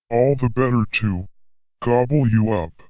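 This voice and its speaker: A man bellows in a put-on character voice at medium pitch. He keeps a moderate pace. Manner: roaring, growling.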